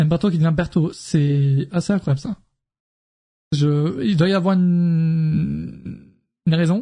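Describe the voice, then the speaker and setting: Long, frequent pauses break up this man's speech. He talks at a very slow pace with a fairly high pitch. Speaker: wrestling streamer. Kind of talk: casual live stream chat. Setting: live stream with chat. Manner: animated.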